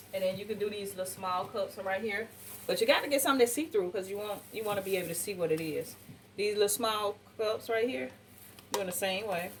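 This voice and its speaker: Very fast speech with ordinary pitch variation plays over noticeable background noise. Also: woman, medium pitch for a woman. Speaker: cooking channel host. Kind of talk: cooking tutorial. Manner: animated.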